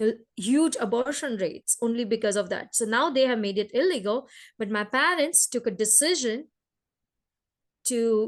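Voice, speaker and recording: In a Gujarati accent, a woman speaks at a high pitch with ordinary pitch variation. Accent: Indian (Gujarati) English. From India, Gujarat. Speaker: entrepreneur. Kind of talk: interview. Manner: halting.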